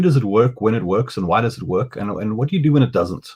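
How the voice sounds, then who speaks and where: A man speaks with a South African accent. His pace is fairly quick and his intonation lively. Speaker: digital marketing consultant. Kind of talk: masterclass interview. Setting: video call. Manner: halting.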